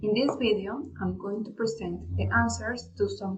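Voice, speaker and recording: With noticeable background noise present, a woman talks at a moderate pace. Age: 20s. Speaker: language student. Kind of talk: class presentation. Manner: formal, partly read.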